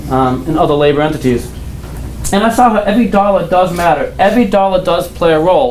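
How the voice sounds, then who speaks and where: An American man speaks at a fairly quick pace in a high pitch for a man, with lively intonation and an animated tone. Noticeable background noise and audible room echo sit behind his voice. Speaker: political candidate. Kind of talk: campaign speech.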